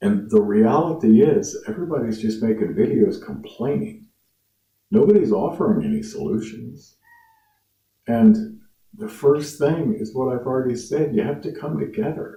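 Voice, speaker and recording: A man with an American accent speaks at a moderate pace in a dark, mellow tone. His fairly high pitch swings very widely, with vocal fry. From US Midwest, Lafayette, Indiana. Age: 50s. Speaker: musician and YouTuber. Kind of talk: casual monologue to camera.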